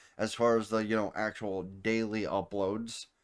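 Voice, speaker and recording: A man speaks in a normal speaking voice at a fairly low pitch, with fairly even intonation. The recording is very clean, with a silent background. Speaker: anime reviewer and streamer. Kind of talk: casual video outro.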